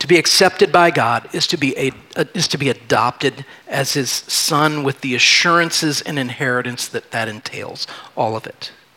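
A man talks with ordinary pitch variation. Noticeable background noise runs behind him. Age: 40s. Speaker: pastor. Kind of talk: sermon. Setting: church.

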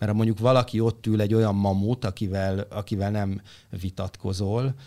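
A man talks at a fairly quick pace, his pitch fairly low and his tone dark and mellow. His intonation stays monotone and flat on a very clean recording with a silent background. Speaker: former creative producer of a talent show. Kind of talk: interview answers, storytelling.

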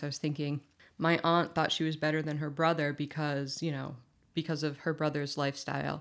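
Recorded very cleanly against a silent background, a woman with an American accent speaks fairly quickly in a very deep, low pitch with fairly even intonation. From Massachusetts, US. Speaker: recovering alcoholic sharing her story. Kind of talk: casual chat.

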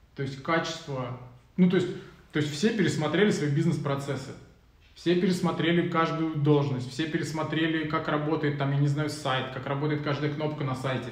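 A man speaks with a fairly high pitch and fairly even intonation. His moderate pace sits over noticeable background noise. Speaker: podcast host. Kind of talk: casual live chat. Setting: video livestream. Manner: casual, colloquial.

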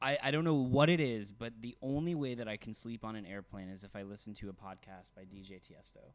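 In an American accent, a man with an ordinary speaking voice talks at medium pitch and a fairly quick pace with lively intonation. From Texas. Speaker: podcast co-host. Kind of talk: casual chat.

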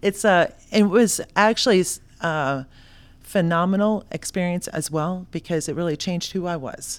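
A woman's normal speaking voice at a moderate pace, with ordinary pitch variation and a very clean recording over a silent background. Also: fairly low pitch for a woman. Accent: American. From South Florida. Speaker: entrepreneur, founder of a consulting company. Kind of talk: podcast interview.

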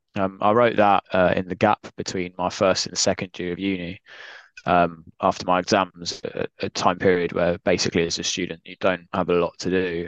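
At a moderate pace, a voice with a southern English accent speaks in a monotone, flat intonation, with a dry, close sound with no echo and a quiet background. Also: man. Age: 20s. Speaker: author. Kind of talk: podcast interview.

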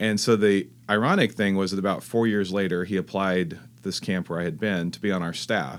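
On a very clean recording with a silent background, a man speaks with an American accent at a fairly low pitch. His pace is fairly quick, and his pitch variation is ordinary. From California (Fresno). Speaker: pastor. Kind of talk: interview.

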